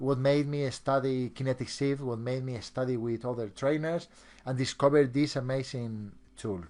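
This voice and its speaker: A man speaks with a Spanish accent at medium pitch. The background is quiet. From Spain. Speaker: hypnotist and trainer. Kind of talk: online seminar presentation. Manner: halting, with many repeated words.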